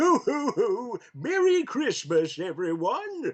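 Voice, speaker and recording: A man puts on a character voice. It is extremely high in pitch and very slow in pace. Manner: jolly.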